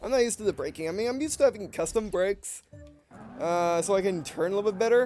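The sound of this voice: Over music in the background, a man talks at a very fast pace with lively intonation.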